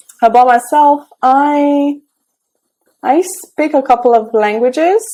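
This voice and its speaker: Speaking at a very slow pace, a woman with a dark, mellow tone shows ordinary pitch variation. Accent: Romanian. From Romania. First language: Romanian. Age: 30s. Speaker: tech entrepreneur and mentor. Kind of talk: interview. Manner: hesitant, many fillers.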